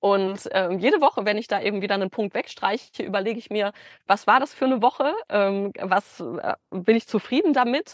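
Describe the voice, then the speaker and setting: A woman talks at a moderate pace in an ordinary speaking voice. Her pitch is medium, with ordinary pitch variation. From Germany, Bielefeld. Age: 30s. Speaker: business consultant. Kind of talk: podcast interview. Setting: video call from a van.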